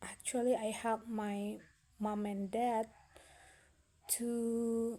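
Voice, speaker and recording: A woman speaks very slowly in a fairly high voice with an Indonesian accent. Her intonation is monotone and flat, broken by long, frequent pauses. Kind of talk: casual talk to camera. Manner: hesitant, slow.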